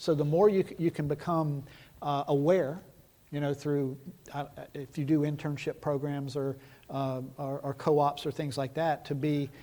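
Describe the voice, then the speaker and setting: In an American accent, this voice has a dark, mellow tone, a moderate pace and monotone, flat intonation. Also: man, fairly high pitch for a man. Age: 60s. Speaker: nuclear regulator, guest lecturer. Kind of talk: Q&A after lecture.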